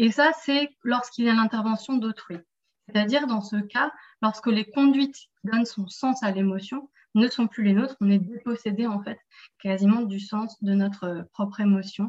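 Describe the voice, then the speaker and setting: Somewhat breathy, a woman speaks at a fairly high pitch. Her pace is moderate, with ordinary pitch variation. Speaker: seminar moderator. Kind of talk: seminar moderation. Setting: video call.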